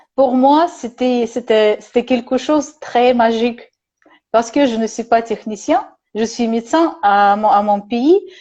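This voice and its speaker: A woman with a Russian accent speaks at a high pitch and fairly slow pace, with ordinary pitch variation. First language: Russian (speaking French). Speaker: psychologist and therapist. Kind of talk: casual conversation on video call. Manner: halting, many hesitations.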